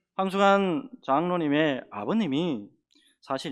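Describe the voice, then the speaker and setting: A man's voice moves through very wide pitch swings. The background stays quiet. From North Gyeongsang, Korea, near Pohang. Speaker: pastor. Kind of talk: sermon. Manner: conversational, asks the congregation questions.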